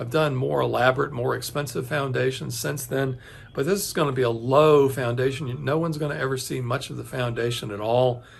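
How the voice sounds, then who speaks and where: Audible room echo colors a man's medium-pitched voice as he talks at a moderate pace with ordinary pitch variation. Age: 60s. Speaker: home building video host. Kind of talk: casual tutorial talk to camera. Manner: hesitant, many fillers and restarts.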